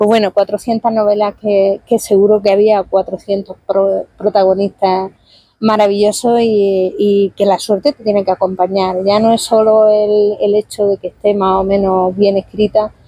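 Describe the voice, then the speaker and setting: A woman speaks at a medium pitch and a fairly slow pace. Her intonation is monotone and flat, with hardly any pauses. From Spain, Murcia region (Lorca). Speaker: novelist. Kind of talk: interview. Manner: hesitant, self-correcting.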